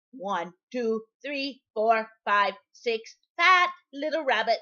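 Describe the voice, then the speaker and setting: A woman speaks very slowly in a put-on character voice pitched fairly high. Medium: read story. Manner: gloating, chuckling.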